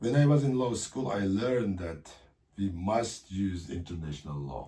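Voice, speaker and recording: Speaking with a Xinjiang accent, a man has a dark, mellow tone that is somewhat breathy. His pitch swings very widely. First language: Uyghur. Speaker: political leader. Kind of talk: interview. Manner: halting.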